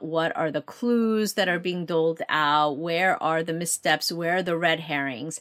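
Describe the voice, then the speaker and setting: In a very clean recording with a silent background, a woman with a Korean accent speaks at a moderate pace with a fairly low pitch. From South Korea (Seoul), moved to Baltimore at 11. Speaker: novelist. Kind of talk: interview.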